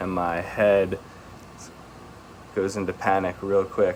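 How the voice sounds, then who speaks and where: A man's very deep, low voice in a flat monotone, with noticeable background noise. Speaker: vlogger. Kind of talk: personal vlog monologue. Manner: slow, halting; stumbling.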